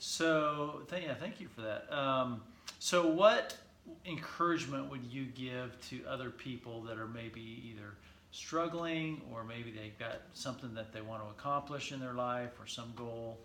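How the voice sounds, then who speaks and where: With an American accent, a man speaks fairly slowly, his loudness swinging widely and his pitch varying in an ordinary way. Noticeable noise sits in the background. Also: medium pitch for a man. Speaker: physical therapist. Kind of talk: casual interview. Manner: casual, chatty.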